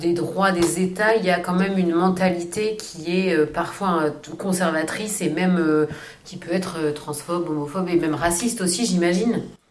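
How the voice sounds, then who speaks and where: A woman talks with a fairly low pitch and fairly even intonation at a moderate pace. Noticeable background noise and audible room echo are present. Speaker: podcast co-host. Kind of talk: casual interview.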